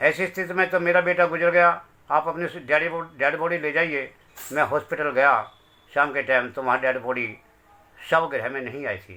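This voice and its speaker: The speaker's loudness swings widely while the pitch moves with ordinary variation. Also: man, fairly high pitch for a man. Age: 60s. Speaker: bereaved father. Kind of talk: testimony.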